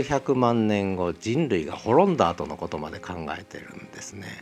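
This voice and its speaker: Fairly low male pitch with very wide swings, a fairly slow pace, and noticeable background noise. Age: 60s. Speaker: podcast host. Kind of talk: solo book talk.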